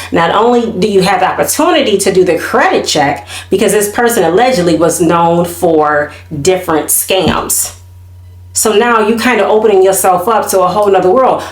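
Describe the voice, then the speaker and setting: Amid noticeable background noise and audible room echo, a woman of medium pitch speaks at a moderate pace with ordinary pitch variation and very even loudness. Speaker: YouTube commentary host. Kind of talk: casual chat. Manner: animated.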